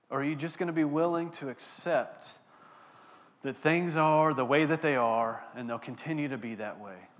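In a very clean recording with a silent background, a man with a Texan accent speaks in a fairly high pitch with big swings in loudness. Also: ordinary pitch variation, moderate pace. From Texas, Abilene. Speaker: pastor. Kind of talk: sermon. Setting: church.

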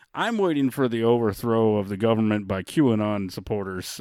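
A man speaks at a fairly low pitch with ordinary pitch variation, on a very clean recording with a silent background. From Florida, Daytona area. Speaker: comedian. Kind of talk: casual chat. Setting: studio. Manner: soft-spoken.

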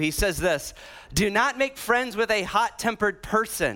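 A man with an American accent speaks in a raised, projected voice with a bright, sharp tone. The recording is very clean, with a silent background. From US Midwest (Illinois, Iowa). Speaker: pastor. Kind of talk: sermon. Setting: church. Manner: animated.

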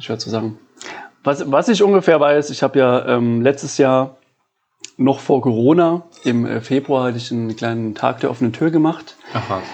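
A normal speaking voice goes along at a medium speed. Its pitch rises and falls in a typical way. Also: man, medium pitch for a man. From Saarland, Germany (Bliesgau). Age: 30s. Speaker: coffee roaster. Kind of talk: casual interview chat. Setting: his living room.

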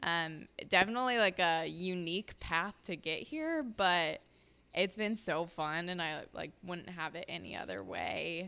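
A woman's fairly low voice in an American accent, bright and sharp in tone, at a fairly slow pace on a very clean recording with a silent background. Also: ordinary pitch variation. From Houston suburbs, Texas. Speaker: nutrition coach. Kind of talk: casual chat.

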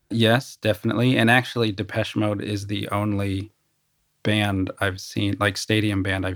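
In a monotone, flat delivery, a man speaks with a fairly low pitch and a somewhat breathy sound. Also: very clean recording, silent background. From United States. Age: 40s. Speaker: artist and musician. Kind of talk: casual chat.

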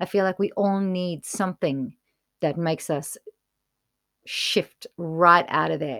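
A woman with a fairly low voice speaks at a fairly slow pace in a bright, sharp tone, with ordinary pitch variation and long, frequent pauses. The sound is dry and close with no echo, on a very clean recording with a silent background. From South Africa, Johannesburg. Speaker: music theatre performer and jazz singer. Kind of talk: casual interview.

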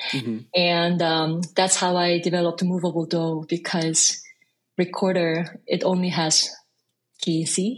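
A woman's fairly slow voice with a Korean accent, very even loudness and fairly even intonation, against a quiet background. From South Korea; Busan and Seoul. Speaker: jazz composer and bandleader. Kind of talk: interview conversation.

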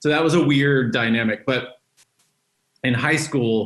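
A man with an American accent speaks in a plain, everyday voice at a moderate pace, his intonation fairly even. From Texas, Dallas. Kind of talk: interview testimony.

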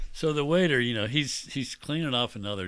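A man speaks in a normal speaking voice at a fairly quick pace. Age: 60s. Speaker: podcast guest, host's father. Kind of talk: casual chat.

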